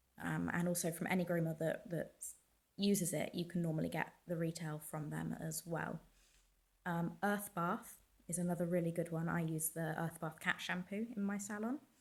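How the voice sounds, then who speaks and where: Her intonation fairly even, a woman speaks in a somewhat breathy voice. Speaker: dog groomer. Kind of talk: casual talk to camera.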